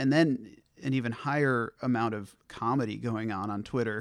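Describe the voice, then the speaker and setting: In a very clean recording with a silent background, a man with a plain, everyday voice talks at a moderate pace, medium in pitch with fairly even intonation. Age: 20s. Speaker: podcaster and social media poster. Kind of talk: casual chat.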